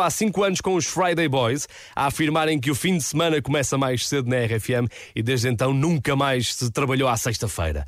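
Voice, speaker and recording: A man with a European Portuguese accent talks at a moderate pace and fairly high pitch with lively intonation, in a very clean recording against a silent background. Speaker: radio host. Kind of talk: radio chart show presenting. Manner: animated.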